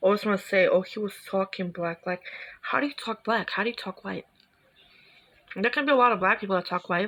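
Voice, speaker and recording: A woman at a medium pitch with ordinary pitch variation, in a New York accent. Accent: natural New York. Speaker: reaction video youtuber. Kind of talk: casual reaction commentary. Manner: animated.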